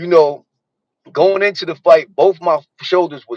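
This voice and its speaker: A fairly high-pitched man's voice, dry and close with no echo. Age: 50s. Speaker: boxer. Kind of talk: casual interview chat.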